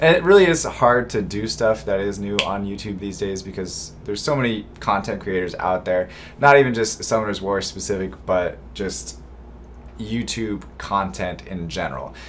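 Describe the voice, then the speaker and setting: A man speaks at a fairly low pitch with lively intonation. Noticeable background noise can be heard. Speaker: gaming YouTuber. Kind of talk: casual vlog talk to viewers. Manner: slow.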